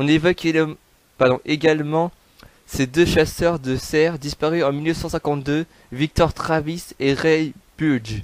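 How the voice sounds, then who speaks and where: Recorded with a dry, close sound and no echo, a man talks at a fairly slow pace with a fairly high pitch and fairly even intonation. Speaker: YouTuber narrating true crime. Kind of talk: reading aloud. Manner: halting, stumbles over words.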